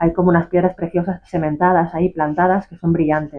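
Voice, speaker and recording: This woman speaks in a Galician accent with a fairly low pitch. Her intonation stays monotone and flat. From Galicia, Isla de Arousa. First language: Galician (speaking Spanish). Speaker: author. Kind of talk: interview. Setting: bookshop.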